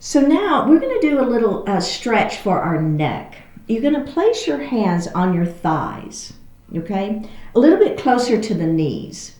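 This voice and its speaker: Her Texas accent comes through as a woman speaks at a fairly slow pace with very wide pitch swings. Audible room echo and noticeable background noise fill the recording. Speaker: yoga instructor. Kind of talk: guided exercise class.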